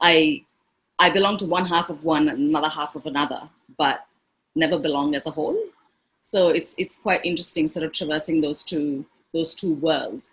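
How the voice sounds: A woman speaks at a low pitch with a fairly bright tone and a slightly husky edge. Her intonation is fairly even and her pace moderate.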